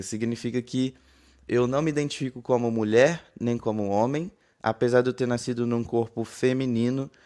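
At a moderate pace, a man talks in a dark, mellow tone at medium pitch over a quiet background. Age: 20s. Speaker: diversity and inclusion consultant. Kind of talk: panel discussion. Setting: online audio room.

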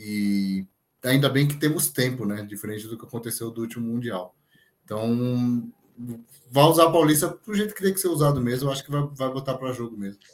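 With a normal speaking voice at medium pitch, a man talks at a fairly quick pace, with lively intonation and big swings in loudness. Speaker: football pundit. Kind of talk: casual chat.

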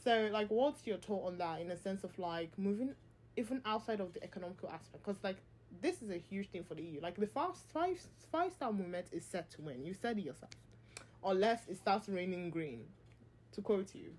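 In an unremarkable speaking voice, a woman talks at a fairly quick pace and medium pitch, with lively intonation. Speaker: podcast host. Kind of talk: casual chat.

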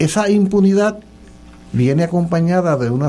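A man with a Puerto Rican accent and ordinary pitch variation. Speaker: professor and political candidate. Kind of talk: casual panel talk on political radio.

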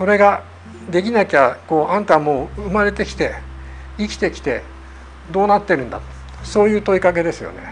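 This man talks at a fairly quick pace. He leaves long, frequent pauses. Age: 60s. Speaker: zen meditation teacher. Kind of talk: lecture.

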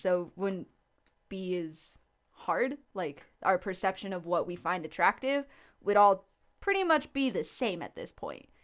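A woman's plain, everyday voice at medium pitch and moderate pace, with ordinary pitch variation against a quiet background. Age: 20s. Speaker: slam poet. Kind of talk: casual chat. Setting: studio.

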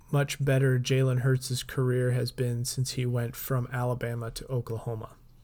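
A man speaks at a medium pitch in a normal speaking voice. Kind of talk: mock radio ad pitch, riffing on a jingle inside a casual comedy chat. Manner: upbeat, tongue-in-cheek announcer patter, repeating the catchphrase.

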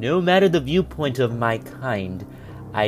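Over music in the background, a man speaks in a menacing, theatrical tone at a fairly slow pace. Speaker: narrator reading a villain's letter in character. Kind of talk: dramatic narration of a sinister letter, theatrical villain reading. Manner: menacing, theatrical, slow and deliberate; formal, archaic-sounding, gravely intense.

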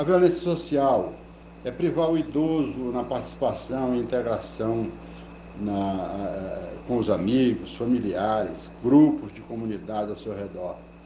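A man talks at a fairly slow pace. His voice has audible room echo and noticeable background noise. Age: 70s. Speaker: lawyer. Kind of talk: informational talk. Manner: halting, many fillers.

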